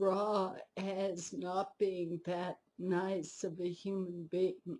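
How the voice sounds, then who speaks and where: At a very slow pace, a woman speaks at a medium pitch in a somewhat breathy voice with a dark, mellow tone. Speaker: spiritual teacher. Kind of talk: video monologue.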